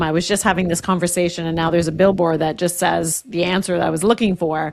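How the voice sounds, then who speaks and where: A woman with a normal speaking voice talks in a fairly low pitch. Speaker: podcast host. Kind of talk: podcast interview questions.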